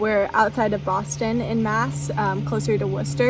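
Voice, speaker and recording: At a moderate pace, a woman talks with an American accent over music in the background. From US Pacific Northwest, near Portland, Oregon. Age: 20s. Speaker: lifestyle vlogger. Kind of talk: casual chat. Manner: casual, filler-heavy.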